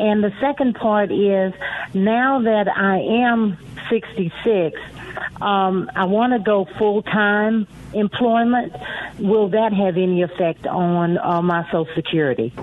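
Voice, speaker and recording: A woman speaks at a very slow pace and medium pitch, with ordinary pitch variation and very even loudness. Noticeable background noise is present. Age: 60s. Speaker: caller. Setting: phone call.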